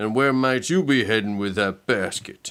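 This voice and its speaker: A man uses a put-on character voice at a medium pitch. He talks at a moderate pace. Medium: read story. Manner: sly, blustery.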